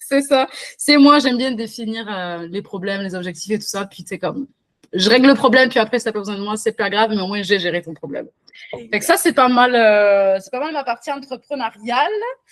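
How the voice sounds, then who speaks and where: With a southwestern French accent, a woman talks at a fairly quick pace in a fairly high pitch, her intonation lively and her loudness swinging widely. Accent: southwestern French, sing-song. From southwestern France. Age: 30s. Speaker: virtual assistant, entrepreneur. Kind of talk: interview. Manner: many fillers (euh).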